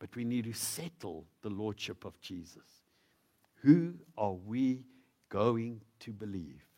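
A man with a South African accent speaks at a very slow pace, with long, frequent pauses and big swings in loudness. His tone is dark and mellow, and his intonation is lively. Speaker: visiting preacher. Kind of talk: sermon. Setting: church.

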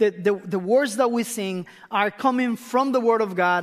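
A high-pitched man with a Spanish accent, with ordinary pitch variation and a moderate pace. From Costa Rica, northern region near Nicaragua. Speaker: missionary pastor. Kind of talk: sermon. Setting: church.

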